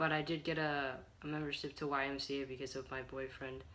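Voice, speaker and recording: A fairly high-pitched man speaks in a monotone, flat intonation, with audible room echo around him. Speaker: transgender vlogger documenting hormone therapy. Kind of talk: casual vlog. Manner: hesitant with many fillers.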